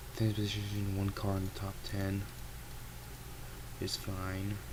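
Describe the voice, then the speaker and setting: The man's voice is fairly low in pitch and quiet. Audible room echo and noticeable background noise surround it. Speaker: gaming streamer. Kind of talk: live gameplay commentary. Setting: at home at night, family asleep. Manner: deliberately quiet, low volume; casual, filler-heavy.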